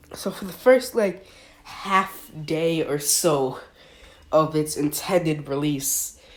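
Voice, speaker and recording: A woman's very deep, low voice at a very slow pace, with lively intonation, big swings in loudness and noticeable background noise. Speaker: podcast host. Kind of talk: casual monologue. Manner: animated.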